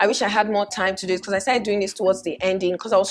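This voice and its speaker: A woman speaks with a Nigerian accent. Her pitch sits in the medium range. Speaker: fashion vlogger. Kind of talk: casual vlog talk. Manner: animated.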